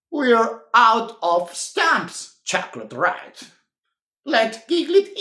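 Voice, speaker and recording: A put-on character voice, fairly high in pitch, delivers its lines at a very slow pace. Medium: read story. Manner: cheerful, teasing.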